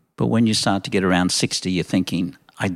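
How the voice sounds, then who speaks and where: A man with a fairly low pitch and an Australian accent. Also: very clean recording, silent background. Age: 70s. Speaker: coffee shop owner. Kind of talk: casual interview.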